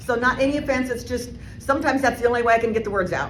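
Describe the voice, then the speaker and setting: A woman speaks in an animated tone. Noticeable background noise and audible room echo fill the recording. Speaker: motivational speaker. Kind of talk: keynote speech. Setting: stage with audience. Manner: fast.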